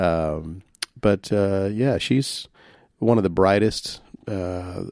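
With a Louisiana accent, a man with a fairly low pitch speaks at a very slow pace. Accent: Southern US (Louisiana). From US South, Shreveport, Louisiana. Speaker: singer-songwriter. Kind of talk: casual chat.

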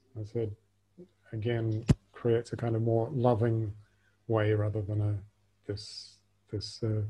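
A man's fairly low, dark and mellow voice, somewhat breathy, flat and monotone at a fairly slow pace. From Australia. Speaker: podcast host and speaker. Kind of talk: casual interview chat. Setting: video call.

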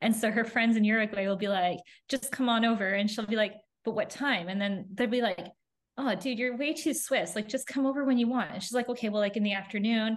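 A woman with a Canadian accent speaks at a fairly quick pace, her fairly high voice somewhat breathy. Her pitch varies in an ordinary way over a quiet background. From Canada. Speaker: family travel content creator. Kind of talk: interview conversation.

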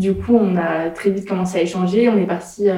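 The voice has a dark, mellow tone and is heard with audible room echo. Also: woman. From France, Nantes. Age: 20s. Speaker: entrepreneur. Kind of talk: interview. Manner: casual, hesitant fillers.

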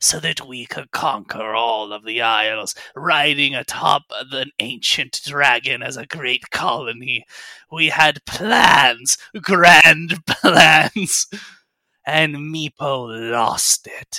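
A man puts on a character voice pitched fairly high. He speaks at a very slow pace. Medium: actual play. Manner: grandiose, threatening.

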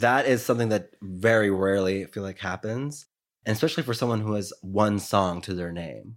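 A man talks at a fairly quick pace with an American accent, his pitch fairly low with ordinary variation. The recording is very clean, with a silent background. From New York City. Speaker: podcast host. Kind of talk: casual interview chat. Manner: animated, friendly.

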